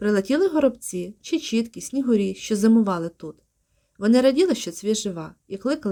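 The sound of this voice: An unforced reading voice with lively intonation and a quiet background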